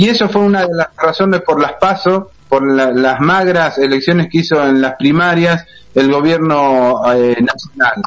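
At a fairly slow pace, a man uses a normal speaking voice with a fairly high pitch, ordinary pitch variation and very even loudness. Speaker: radio co-host. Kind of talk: radio interview.

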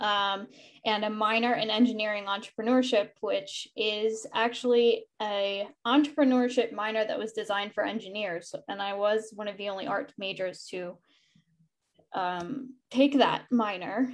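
This is an unremarkable speaking voice. Its intonation stays fairly even. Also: woman, fairly high pitch for a woman, moderate pace. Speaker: arts council executive director. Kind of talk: panel discussion.

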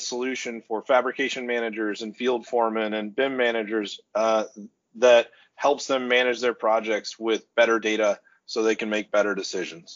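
Using an unremarkable speaking voice, a man with an American accent speaks at medium pitch with fairly even intonation. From Oklahoma City, US. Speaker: construction software company executive. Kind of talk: podcast interview. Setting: video call.

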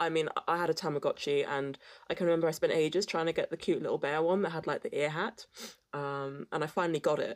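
A woman with a British accent speaks very fast in an animated tone, her pitch fairly low, on a very clean recording with a silent background. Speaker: podcast co-host. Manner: animated, laughs often.

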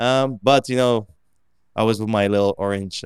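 This man has an American accent. His pace is fairly quick. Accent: American-sounding English. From Limassol, Cyprus. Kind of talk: casual interview chat.

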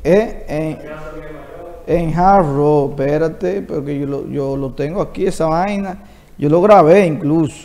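Over noticeable background noise and audible room echo, a man with a fairly high voice speaks at a very slow pace with ordinary pitch variation. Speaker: entertainment show host. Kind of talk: interview.

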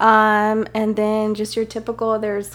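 This is a woman with an American accent. She speaks at a fairly high pitch. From San Jose, California. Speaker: Portuguese teacher. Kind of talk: casual chat.

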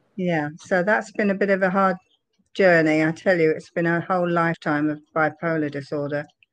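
With an English accent, a woman talks at a fairly quick pace. Her pitch is fairly low and her intonation fairly even. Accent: English accent, still noticeable. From London area, England. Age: 70s. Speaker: interviewee sharing life story. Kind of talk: interview testimony.

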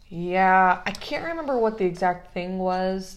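Room echo is audible as a woman speaks at medium pitch. Her pace is fairly slow. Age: 20s. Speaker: podcast host, small business owner. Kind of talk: casual chat.

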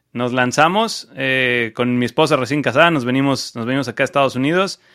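On a very clean recording with a silent background, a man with a fairly high pitch and a bright, sharp tone talks at a moderate pace with ordinary pitch variation. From Mexico, Cancún. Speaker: e-commerce entrepreneur. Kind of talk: interview. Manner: halting, many repetitions.

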